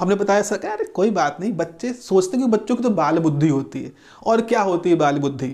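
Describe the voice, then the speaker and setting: The delivery moves at a moderate pace. Its intonation is lively. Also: man, high pitch for a man. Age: 60s. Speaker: professor; teacher. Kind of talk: lecture. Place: classroom. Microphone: lapel.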